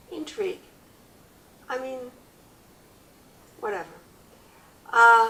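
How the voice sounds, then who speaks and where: A woman's raised, projected voice at a high pitch, with very wide pitch swings and long, frequent pauses. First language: French. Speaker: family memoir interviewee. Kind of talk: oral history interview. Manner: halting.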